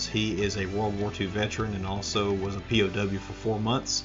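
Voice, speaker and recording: The speed is moderate. It is a normal speaking voice. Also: man. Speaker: podcast host. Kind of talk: podcast intro.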